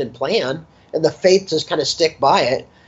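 An American accent with ordinary pitch variation. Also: man. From Los Angeles, US. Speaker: sports business consultant. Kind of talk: interview.

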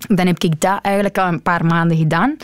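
At a moderate pace, a woman talks with a dry, close sound with no echo, over noticeable background noise. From Antwerp, Belgium (Deurne). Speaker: forklift driver. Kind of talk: interview. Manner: halting.

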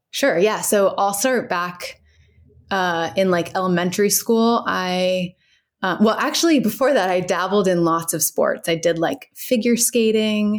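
In an American accent, a woman speaks at a medium pitch and a fairly slow pace with ordinary pitch variation, in a normal speaking voice, on a very clean recording with a silent background. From US Midwest, Cincinnati, Ohio. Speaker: physical therapist. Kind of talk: casual interview.

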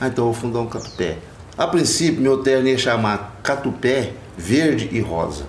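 With lively intonation at a moderate pace, a man speaks over noticeable background noise and audible room echo. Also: medium pitch for a man. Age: 50s. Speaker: Congado group captain. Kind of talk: interview. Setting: outdoors.

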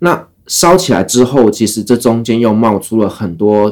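A man talks at a moderate pace and a medium pitch. He has an unremarkable speaking voice. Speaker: travel podcaster, former expat worker in the Middle East. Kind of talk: casual interview chat.

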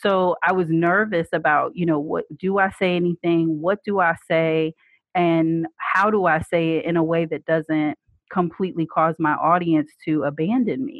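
Using a plain, everyday voice, a woman with an American accent and a fairly low pitch talks at a moderate pace with ordinary pitch variation. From US Northeast, North Jersey. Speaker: HR director and blogger. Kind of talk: interview conversation.

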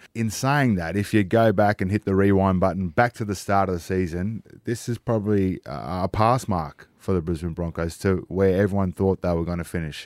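With an Australian accent and a very deep, low pitch, a man talks at a fairly quick pace with hardly any pauses. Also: ordinary pitch variation. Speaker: former footballer guest. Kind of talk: casual radio chat. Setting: radio studio.

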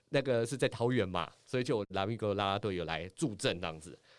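A man talking at a fairly quick pace on a very clean recording with a silent background. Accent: Taiwanese. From Taiwan, Taipei. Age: middle-aged. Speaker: former sports anchor and author. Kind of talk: casual chat. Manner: animated.

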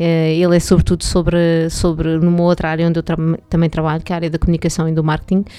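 A woman speaks at a very fast pace in a European Portuguese accent. Her fairly low pitch stays monotone and flat. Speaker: podcast guest, communication professional. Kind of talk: casual chat.

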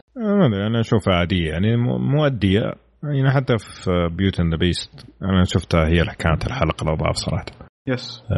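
Keeping a very even loudness, a man talks at a fairly quick pace in a fairly low pitch with lively intonation. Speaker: podcast host and film reviewer. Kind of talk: casual chat. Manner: animated.

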